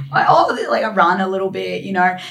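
A woman's husky, medium-pitched voice with vocal fry, ordinary pitch variation, a fairly quick pace and strong room echo.

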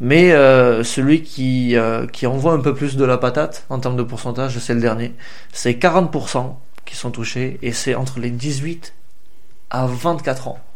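Very slow, fairly even speech from a man, with audible room echo. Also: medium pitch for a man. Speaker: podcast host. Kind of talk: casual chat. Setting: recorded late at night, also live on Instagram.

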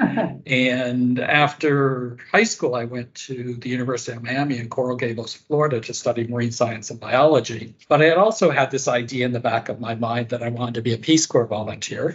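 A medium-pitched, somewhat breathy man's voice with an American accent, fairly even intonation and hardly any pauses. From US, rural northwest Pennsylvania. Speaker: public health nutrition leader. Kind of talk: interview. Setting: remote call.

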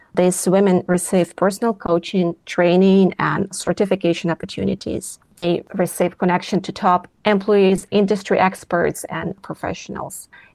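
A woman with a Russian accent, medium pitch and monotone, flat intonation, at a moderate pace with hardly any pauses. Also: dry, close sound with no echo. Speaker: philanthropy co-chair, former journalist. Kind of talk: interview. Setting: remote recording.

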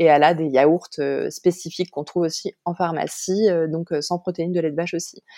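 A woman's fairly low, dark and mellow voice, monotone and flat, at a fairly quick pace against a quiet background. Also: dry, close sound with no echo. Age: 30s. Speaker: mother of two, starting online clothing shop. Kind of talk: testimony. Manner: hesitant.

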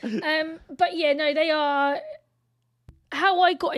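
At a fairly slow pace, a woman with a high-pitched voice speaks with fairly even intonation. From England. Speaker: podcast co-host. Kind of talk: casual chat.

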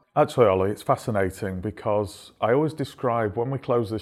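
Fairly low-pitched speech from a man with a Manchester accent, ordinary pitch variation and a fairly quick pace, on a very clean recording with a silent background. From Stockport, Greater Manchester, England. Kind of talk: interview.

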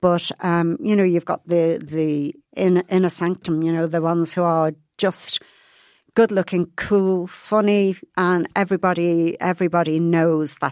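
On a very clean recording with a silent background, a woman with an Irish accent speaks at a fairly low pitch with fairly even intonation, the sound dry and close with no echo. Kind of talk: casual chat.

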